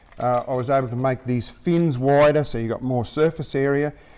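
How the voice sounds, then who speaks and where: Moderate-paced speech from a man at medium pitch, with ordinary pitch variation. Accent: Australian. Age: 60s. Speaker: anchor inventor. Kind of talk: interview.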